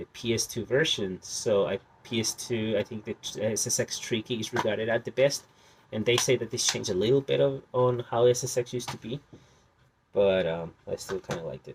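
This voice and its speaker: With a Spanish accent, a man speaks at a medium pitch. His pace is moderate and his voice somewhat breathy. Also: dry, close sound with no echo. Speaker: video game collector. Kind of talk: casual collection showcase. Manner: halting, many fillers.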